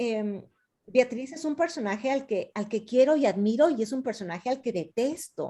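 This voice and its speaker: A woman's high-pitched voice carries a dark, mellow tone. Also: moderate pace. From Ecuador, Quito. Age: 50s. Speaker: novelist. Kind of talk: author talk with students, Q&A. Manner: hesitant, many fillers.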